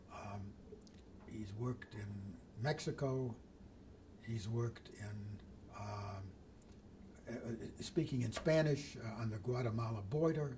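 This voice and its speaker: With audible room echo, a man speaks at a fairly slow pace, somewhat breathy and medium-pitched, with ordinary pitch variation and long, frequent pauses. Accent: American. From Detroit, Michigan, US. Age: 80s+. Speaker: retired builder and community leader. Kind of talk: oral history interview. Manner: halting, with many fillers.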